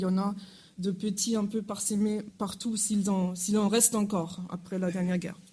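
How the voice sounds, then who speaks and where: Speaking at a fairly quick pace with a German accent, a woman has a somewhat breathy, dark, mellow tone, a medium pitch and monotone, flat intonation, with audible room echo. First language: German (speaking French). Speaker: university lecturer. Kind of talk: lecture. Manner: halting.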